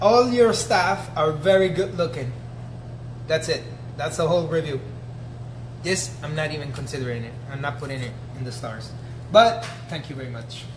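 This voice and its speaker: Amid noticeable background noise and audible room echo, a man speaks at a moderate pace and fairly high pitch in an animated tone, with lively intonation, long, frequent pauses and big swings in loudness. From Italy. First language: Italian. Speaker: chef and restaurant owner. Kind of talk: casual review reading to camera.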